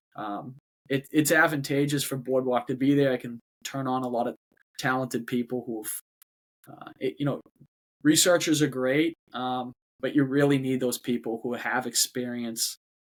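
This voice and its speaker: With a Boston accent, this voice has fairly even intonation and long, frequent pauses, recorded with a dry, close sound and no echo. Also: man, very clean recording, silent background. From Boston, Massachusetts. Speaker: robotics company CEO. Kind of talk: podcast interview. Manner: halting, with many repetitions and fillers.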